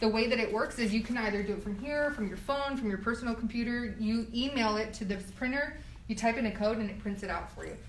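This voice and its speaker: Speech rushes at a very fast pace with hardly any pauses and fairly even intonation, amid audible room echo and noticeable background noise. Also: woman, fairly high pitch for a woman. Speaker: university housing staff tour guide. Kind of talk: live guided tour. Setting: walking tour via Instagram Live. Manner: casual, chatty.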